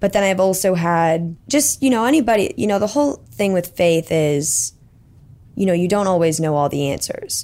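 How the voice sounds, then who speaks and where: A very clean recording with a silent background captures a woman with an American accent, a medium pitch and a dark, mellow tone, speaking at a moderate pace with lively intonation and very even loudness. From Texas, Plano. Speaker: incoming college student. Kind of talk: podcast interview.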